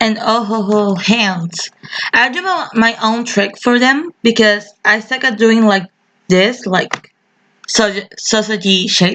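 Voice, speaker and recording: In a dry, close sound with no echo, a woman with a non-native accent speaks very slowly in a bright, sharp tone at a fairly high pitch, with ordinary pitch variation. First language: not English. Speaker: digital artist. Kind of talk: tutorial. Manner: halting. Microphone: poor audio quality.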